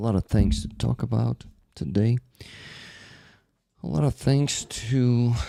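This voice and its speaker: Soft-spoken and at very even loudness, a man talks at a fairly slow pace with long, frequent pauses in a dry, close sound with no echo. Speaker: livestream host. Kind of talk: casual livestream chat.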